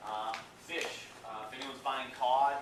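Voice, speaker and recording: A man speaks at a medium pitch with monotone, flat intonation. Room echo is audible, and background noise is noticeable. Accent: East Coast US. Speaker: seafood company representative. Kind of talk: presentation to an audience. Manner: casual, many filler words.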